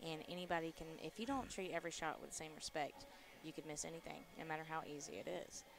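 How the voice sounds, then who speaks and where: A woman talks quietly at a fairly quick pace. Her very deep, low voice has ordinary pitch variation. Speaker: pool commentator. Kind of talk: live commentary. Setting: live stream at pool tournament venue. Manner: quiet to avoid distracting players.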